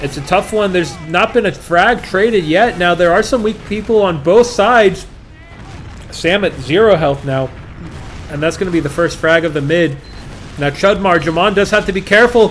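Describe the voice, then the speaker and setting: A man with an American accent, high-pitched, at a moderate pace with ordinary pitch variation and noticeable background noise. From Australia. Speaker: esports caster. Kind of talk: live commentary. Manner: animated.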